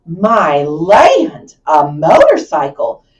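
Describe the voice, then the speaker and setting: A female-sounding voice at a medium pitch. She is doing a put-on character voice. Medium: read story.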